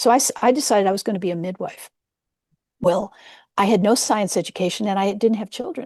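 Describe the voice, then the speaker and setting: A woman with a West Coast accent speaks very fast at a medium pitch, with ordinary pitch variation and long, frequent pauses. The sound is dry and close with no echo, over a quiet background. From US West Coast, San Francisco Peninsula. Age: 70s. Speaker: nurse-midwife and psychedelic historian. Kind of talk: interview.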